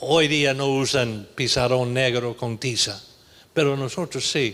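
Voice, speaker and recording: A man speaks at a very slow pace, his medium-pitched voice keeping a fairly even intonation. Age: 70s. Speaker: pastor. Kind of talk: sermon. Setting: church.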